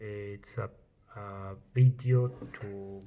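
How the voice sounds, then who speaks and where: A somewhat breathy male voice with fairly even intonation. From Italy. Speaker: chef. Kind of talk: personal testimony vlog. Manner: halting, many fillers.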